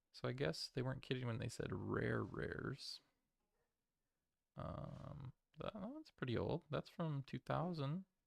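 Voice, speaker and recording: Mumbling at a fairly slow pace with long, frequent pauses, a man is heard in a dry, close sound with no echo. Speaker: streamer opening trading cards. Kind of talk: live stream product opening. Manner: halting, many fillers.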